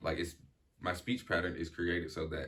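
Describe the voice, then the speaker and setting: Very fast speech from a man with a very deep, low pitch and ordinary variation in tone. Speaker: childhood friend talking about stuttering. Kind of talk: casual chat. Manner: halting, with word switches and repetitions.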